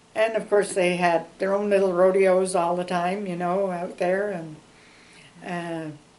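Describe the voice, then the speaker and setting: Delivered at a fairly slow pace in a flat monotone, the speech has long, frequent pauses and audible room echo. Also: woman. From Canada, Ontario (Ottawa). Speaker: longtime local resident. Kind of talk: oral history interview. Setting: interview. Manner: chatty, many fillers.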